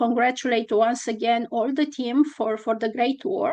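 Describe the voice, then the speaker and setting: There is noticeable background noise throughout. The woman talking has a high-pitched voice. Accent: Romanian. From Romania. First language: Romanian. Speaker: constitutional law scholar. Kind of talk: academic conference talk. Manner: halting with many fillers.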